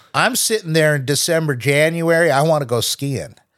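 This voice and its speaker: A man with a fairly high pitch talks at a moderate pace in an unremarkable speaking voice, on a very clean recording with a silent background. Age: 60s. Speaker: podcast host's father, night-shift worker. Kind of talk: casual chat. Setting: studio.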